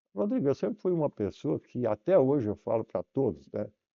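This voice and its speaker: His pitch swings very widely as this man keeps to a moderate pace. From southern Brazil, Santa Catarina (Tubarão area). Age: 80s+. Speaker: company founder, businessman. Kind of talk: interview.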